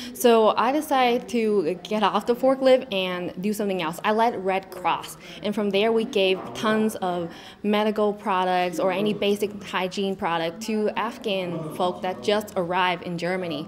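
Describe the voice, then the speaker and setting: A woman's voice with a Vietnamese accent, ordinary pitch variation and a moderate pace. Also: medium pitch for a woman. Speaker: pageant contestant, Air Force member. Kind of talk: interview.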